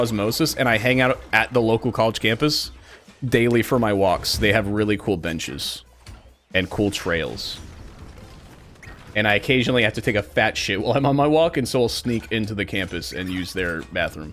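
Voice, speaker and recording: Speaking in a normal speaking voice with an American accent, a man talks at a medium pitch and a moderate pace, with ordinary pitch variation. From Kansas. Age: 20s. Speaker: game streamer. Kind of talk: casual live-stream chat while gaming.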